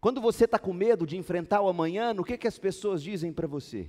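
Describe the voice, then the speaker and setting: Talking at a very fast pace with lively intonation, a man with a high pitch and a dark, mellow tone comes through on a very clean recording with a silent background. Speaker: pastor. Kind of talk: sermon. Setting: church.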